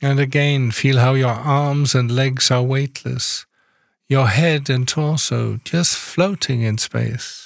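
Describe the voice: At a very slow pace, a man speaks at a medium pitch, his intonation fairly even and his loudness very even.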